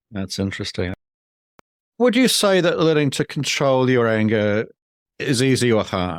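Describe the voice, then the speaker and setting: The pitch swings very widely, broken by long, frequent pauses, on a very clean recording with a silent background. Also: man, medium pitch for a man, moderate pace. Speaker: podcast host, anger management coach. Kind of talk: interview questions.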